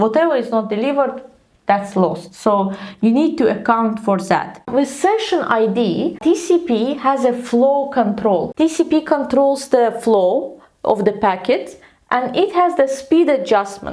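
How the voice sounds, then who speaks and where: A woman speaks at a high pitch with very wide pitch swings and a non-native accent. Her loudness stays very even, and her pace is fairly slow. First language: not English. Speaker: tech educator. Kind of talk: tutorial.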